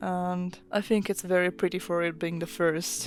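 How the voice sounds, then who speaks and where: With music in the background, a woman with an Italian accent and fairly low pitch speaks at a moderate pace in a relaxed tone with monotone, flat intonation. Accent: Italian accent, self-noted pronunciation. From Italy. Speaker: artist and comic creator. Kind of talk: casual chat while drawing. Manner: relaxed, rambling.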